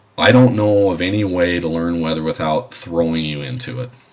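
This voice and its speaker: Over noticeable background noise, a man with a very deep, low pitch speaks with lively intonation. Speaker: aviation instructor. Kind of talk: lecture. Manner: halting.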